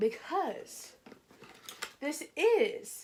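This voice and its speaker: Using very wide pitch swings, a woman talks with an American accent. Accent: Georgia accent, comes out at times. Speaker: beauty vlogger. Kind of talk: casual product review. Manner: chatty, filler-heavy.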